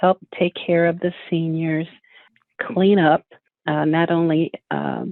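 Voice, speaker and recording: Fairly low in pitch, a woman talks at a very slow pace with long, frequent pauses and monotone, flat intonation. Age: 70s. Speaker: award honoree telling life story. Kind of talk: interview testimony. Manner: hesitant, with many fillers.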